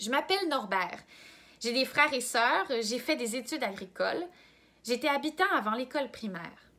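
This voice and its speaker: Her voice raised and projected, a woman speaks at a moderate pace in a high pitch with lively intonation. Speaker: volunteer reader. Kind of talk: reading aloud.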